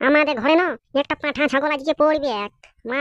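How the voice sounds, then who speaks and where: A cartoonish character voice, female-sounding and high-pitched, moves at a fairly quick pace. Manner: blunt, bossy.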